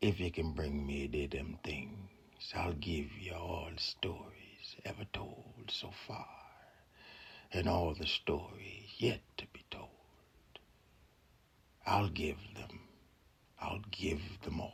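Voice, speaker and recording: Whispering in a put-on character voice, a man goes at a very slow pace with long, frequent pauses. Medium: read story.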